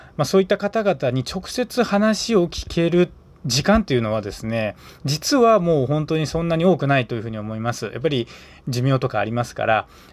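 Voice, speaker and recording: At a fairly quick pace, a man speaks at a fairly high pitch with very wide pitch swings. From Aichi Prefecture, Tokai region, Japan. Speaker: podcast host. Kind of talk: casual morning solo podcast talk.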